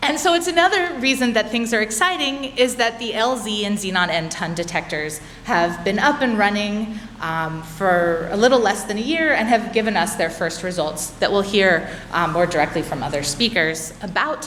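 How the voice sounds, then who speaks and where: Someone with an American accent talks at a moderate pace with very wide pitch swings, amid audible room echo and noticeable background noise. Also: woman, medium pitch for a woman. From United States. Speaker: physicist. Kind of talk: conference talk. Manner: filler words, some restarts.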